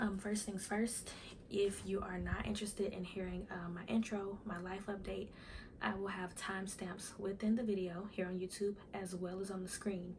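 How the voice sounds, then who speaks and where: Soft-spoken delivery moves at a moderate pace. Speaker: YouTuber. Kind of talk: casual vlog talk to camera. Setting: at home in front of camera.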